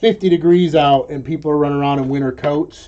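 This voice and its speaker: A man with a normal speaking voice, fairly high in pitch, at a moderate pace. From New York. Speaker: online reseller and live streamer. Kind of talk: live stream chat while working. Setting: warehouse room, webcam live stream. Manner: casual, with many fillers.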